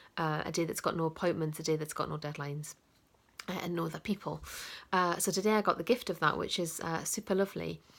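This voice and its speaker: A woman with a northeast English accent speaks at a very fast pace with fairly even intonation and vocal fry. The recording is very clean, with a silent background. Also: fairly low pitch for a woman. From northeast England. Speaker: coach. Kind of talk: casual vlog talk to camera. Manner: hesitant, many fillers.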